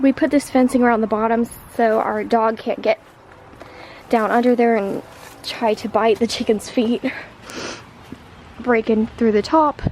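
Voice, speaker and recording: A woman's fairly high voice, fairly even in intonation, with long, frequent pauses and noticeable background noise. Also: moderate pace. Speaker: backyard chicken keeper. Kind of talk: casual talk to camera. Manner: hesitant, casual.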